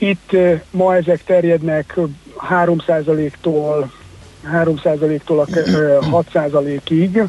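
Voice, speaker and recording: Speaking at a very slow pace with long, frequent pauses, a man with a fairly high voice keeps his intonation fairly even over noticeable background noise. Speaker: financial expert. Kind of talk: radio interview.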